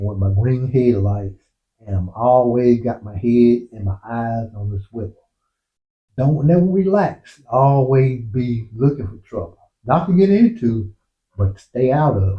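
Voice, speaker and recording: Lively in intonation, a man at a medium pitch speaks at a fairly slow pace. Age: 60s. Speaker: motorcycle vlogger. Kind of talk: casual monologue. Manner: halting.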